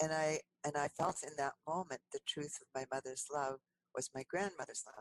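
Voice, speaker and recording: Moderate pace in a dry, close sound with no echo. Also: woman. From US Great Lakes, Finnish-American community of Sault Ste. Marie. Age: 70s. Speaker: energy medicine healer and counselor. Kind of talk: podcast interview storytelling.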